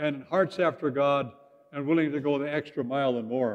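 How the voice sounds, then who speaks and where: A man is speaking here. He keeps a moderate pace. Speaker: pastor. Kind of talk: sermon. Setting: church.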